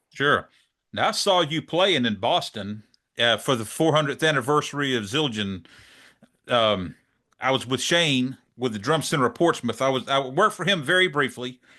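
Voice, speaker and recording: A man at a moderate pace with a Southern US accent and a bright, sharp tone, over a quiet background. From US South, South Georgia; Georgia. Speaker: drum channel interviewer. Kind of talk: interview. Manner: casual, hesitant with fillers. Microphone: studio mic.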